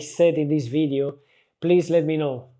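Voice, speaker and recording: The speaker talks at a fairly quick pace with a non-native accent. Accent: noticeable foreign. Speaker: photographer and content creator. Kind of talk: casual talk to camera. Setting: home living room. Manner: halting, with self-corrections.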